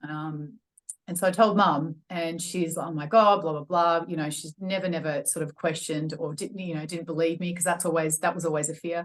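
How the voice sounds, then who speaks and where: A woman's fairly low pitch in an Australian accent, fairly quick in pace with fairly even intonation. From Australia, Melbourne. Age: 40s. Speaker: personal trainer and wellness coach. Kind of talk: podcast interview, personal testimony. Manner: hesitant, many fillers.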